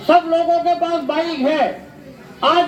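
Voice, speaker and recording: Background noise is noticeable. Over it, a man speaks. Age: 70s. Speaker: independent election candidate. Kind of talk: campaign speech.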